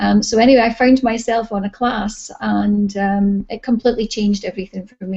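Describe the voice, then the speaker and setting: Speaking in a Scottish accent, a woman with a somewhat breathy, fairly high voice moves at a fairly quick pace with fairly even intonation. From Scotland. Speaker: holistic therapy practitioner and teacher. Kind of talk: interview. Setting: video call.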